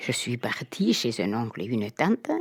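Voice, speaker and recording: The speech is fairly slow with lively intonation. The sound is dry and close with no echo, on a very clean recording with a silent background. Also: woman. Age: 80s+. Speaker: retired farmer. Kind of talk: interview testimony.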